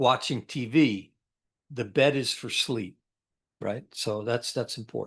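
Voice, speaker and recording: Over a quiet background, a speaker with an American accent talks at a fairly slow pace with ordinary pitch variation and long, frequent pauses. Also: man, medium pitch for a man. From upstate New York. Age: 60s. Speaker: military veteran. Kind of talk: interview. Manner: halting.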